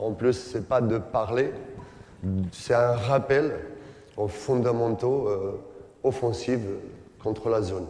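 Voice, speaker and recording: In a very slow delivery with long, frequent pauses, a man with a non-native accent speaks at medium pitch and fairly even intonation, with audible room echo and noticeable background noise. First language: not French (speaking French). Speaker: basketball coach and former player. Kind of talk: coaching clinic lecture. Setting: conference hall with audience and interpreter. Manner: halting, many hesitations.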